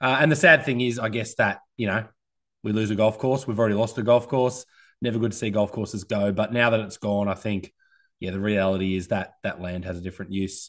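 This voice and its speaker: Against a quiet background, a man with an Australian accent talks at a fairly quick pace, his fairly low pitch showing ordinary variation. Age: 30s. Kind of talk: casual chat.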